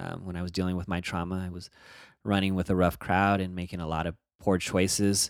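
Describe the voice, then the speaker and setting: In a very clean recording with a silent background, a man with a very deep, low pitch talks in a monotone, flat intonation. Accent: American. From Northern California (Bay Area). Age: 40s. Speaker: activist and criminal justice advocate. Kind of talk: podcast interview.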